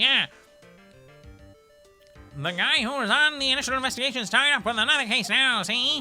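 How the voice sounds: Putting on a character voice in a Southern accent, a man speaks at an extremely high pitch and a fairly quick pace, with long, frequent pauses and faint music in the background.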